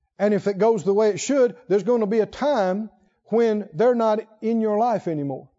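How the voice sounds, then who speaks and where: A man's high voice, warm in tone, at a moderate pace with ordinary pitch variation. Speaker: preacher. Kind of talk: sermon, Bible teaching to a congregation. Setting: church. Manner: warm, fervent, with laughter and praise.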